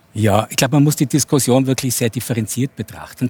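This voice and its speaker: A somewhat breathy man's voice with fairly even intonation, dry and close with no echo. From Innsbruck, Austria. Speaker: sociologist and futurist. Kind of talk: talk show debate.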